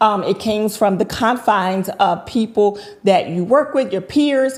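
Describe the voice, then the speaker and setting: With a Southern US accent and fairly high pitch, a woman speaks at a fairly slow pace with ordinary pitch variation over noticeable background noise. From North Carolina (High Point). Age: 50s. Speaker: entrepreneur. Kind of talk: interview.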